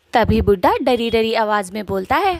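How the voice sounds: A woman speaks at a moderate pace in a fairly high pitch with lively intonation. Her tone is slightly mellow, and the sound is dry and close, with no echo.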